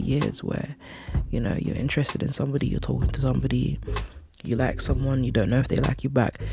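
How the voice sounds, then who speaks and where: Noticeable background noise sits behind this recording. A woman speaks in a relaxed, warm tone. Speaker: radio host. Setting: pre-recorded away from the studio. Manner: relaxed, warm and conversational, with frequent 'you know' and laughs.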